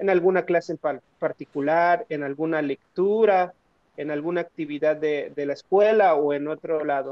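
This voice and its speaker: A man with a normal speaking voice talks at a moderate pace, his pitch fairly high and his intonation fairly even. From northern Mexico. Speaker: podcast co-host, sociologist. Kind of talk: interview.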